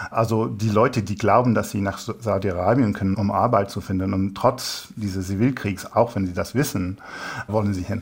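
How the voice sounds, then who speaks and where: At a moderate pace, a man talks in a somewhat breathy, fairly low voice with fairly even intonation. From England. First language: English (speaking German). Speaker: human rights researcher. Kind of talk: interview answers. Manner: halting.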